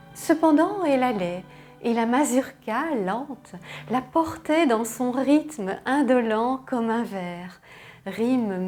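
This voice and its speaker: Music plays in the background as a woman speaks at a very slow pace. Her high pitch moves in very wide swings. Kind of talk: poetry reading. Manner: soft-spoken, tender.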